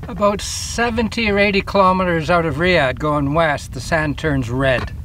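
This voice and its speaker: A man speaks at a moderate pace with a high pitch. Audible room echo and noticeable background noise are present. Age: 50s. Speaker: outdoor vlogger. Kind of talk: casual vlog narration. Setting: outdoors. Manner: halting.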